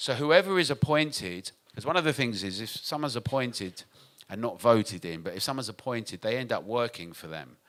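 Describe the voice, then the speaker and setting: A man with a British accent speaks fairly quickly at a medium pitch. His pitch swings very widely and his loudness rises and falls sharply. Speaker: nightlife industry advocate. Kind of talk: conference talk. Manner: fast.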